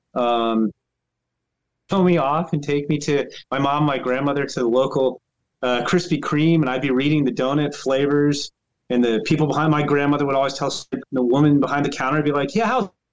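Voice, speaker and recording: A man with an American accent speaks fairly quickly in a plain, everyday voice. His pitch is fairly high, with ordinary pitch variation and very even loudness. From US, Northern Virginia. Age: 50s. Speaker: baseball writer. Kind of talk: interview.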